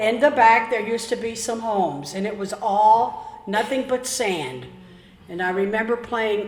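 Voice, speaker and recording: Spoken in an American accent at a medium speed, the clip carries audible room echo along with clearly audible background noise. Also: woman. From Florida (Tarpon Springs), born Pennsylvania. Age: 80s+. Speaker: longtime local resident. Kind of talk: oral history storytelling.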